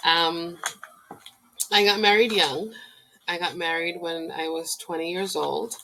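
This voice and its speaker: In a Spanish accent, a woman speaks at a fairly low pitch with fairly even intonation. She moves at a fairly slow pace, with long, frequent pauses. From Puerto Rico. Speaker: domestic violence recovery coach. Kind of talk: personal introduction vlog.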